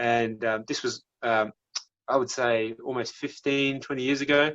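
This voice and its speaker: A man's medium-pitched voice in a strong Australian accent, at a fairly slow pace with monotone, flat intonation. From Australia, South Australia and Melbourne. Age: 30s. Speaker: physiotherapist. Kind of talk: casual interview chat.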